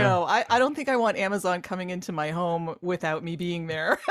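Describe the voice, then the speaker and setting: A woman speaks at a medium pitch and a moderate pace, her pitch swinging very widely over noticeable background noise. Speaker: voice actor. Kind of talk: interview answer.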